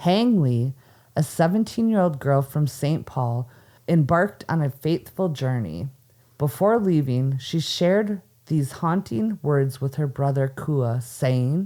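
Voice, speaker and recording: With an Upper Midwest accent, the speaker talks at a fairly slow pace in a dark, mellow tone with lively intonation. The loudness is very even on a very clean recording with a silent background. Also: woman, very deep, low pitch for a woman. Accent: Upper Midwest (Minnesota). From Minnesota. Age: 40s. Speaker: podcast host. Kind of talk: casual chat; storytelling.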